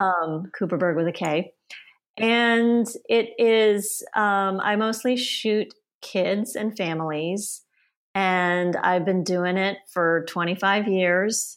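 A woman at medium pitch, very slow pace, fairly even intonation and very even loudness. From US South (Auburn, Alabama); born in Sweden to Polish parents. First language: Polish. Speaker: family photographer. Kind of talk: casual interview chat.

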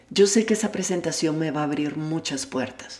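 With lively intonation and a very deep, low pitch, a woman speaks at a moderate pace over noticeable background noise. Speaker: personal development podcaster. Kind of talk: self-help monologue.

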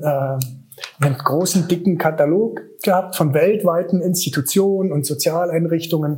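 A man in a plain, everyday voice speaks at a moderate pace with fairly even intonation. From eastern Germany, Königs Wusterhausen near Berlin. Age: 40s. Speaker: special-education school director. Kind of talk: interview.

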